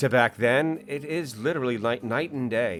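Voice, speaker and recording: A man's medium-pitched voice with an American accent at a moderate pace, music in the background. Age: 50s. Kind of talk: casual talk to camera. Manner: hesitant, rambling.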